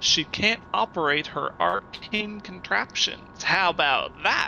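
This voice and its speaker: Clear background noise sits behind a put-on character voice that talks fairly slowly. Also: man, high pitch for a man. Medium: actual play.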